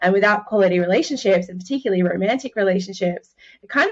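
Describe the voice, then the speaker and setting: A woman speaks at a very fast pace with an Australian accent. Her pitch is medium and her intonation fairly even. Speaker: relationship coach. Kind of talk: interview.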